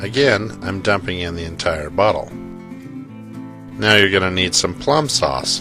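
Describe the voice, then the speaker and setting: Over music in the background, a man with a very deep, low voice speaks very slowly, with very wide pitch swings and hardly any pauses. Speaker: cooking channel host. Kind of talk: cooking tutorial narration.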